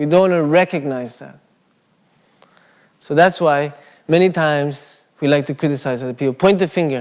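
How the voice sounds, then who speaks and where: Speaking at a moderate pace with a non-native accent, a man uses a fairly high pitch and ordinary pitch variation, leaving long, frequent pauses. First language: not English. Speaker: Buddhist speaker. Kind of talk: dharma talk. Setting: Buddhist centre with live audience. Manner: casual, conversational.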